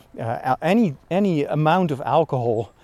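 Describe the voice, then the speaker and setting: A man's voice sits fairly high in pitch with a dark, mellow tone. His intonation is lively. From Netherlands. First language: Dutch. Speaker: priest. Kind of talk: casual monologue. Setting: outdoors. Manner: animated; pitch rises when excited.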